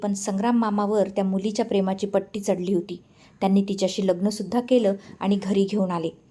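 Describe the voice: The passage is delivered as plain reading aloud.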